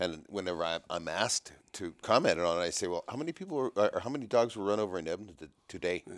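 In an ordinary speaking voice, a man with fairly low pitch talks with lively intonation and hardly any pauses. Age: 60s. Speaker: podcast host, trapper. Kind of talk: casual interview. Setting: in person, downtown Toronto.

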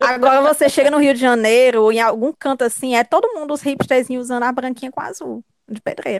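A woman's high-pitched voice with a Cearense accent, at a very fast pace with hardly any pauses and fairly even intonation, in a dry, close sound with no echo. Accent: Cearense Northeastern Brazilian Portuguese. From Ceará, Brazil (Fortaleza). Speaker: podcast guest. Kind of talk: casual chat.

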